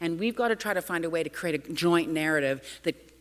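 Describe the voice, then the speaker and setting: Speaking with a Canadian accent at a fairly quick pace, a woman has a very deep, low pitch in a very clean recording with a silent background. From Canada. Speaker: urban policy speaker. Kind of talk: conference talk. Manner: fast.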